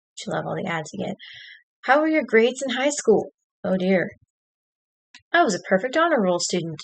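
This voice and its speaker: With an American accent, the speaker races along at a very fast pace, making very wide pitch swings. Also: woman. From Texas. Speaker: streamer. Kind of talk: casual live stream chat, reading quiz questions. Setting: home live stream at computer with camera.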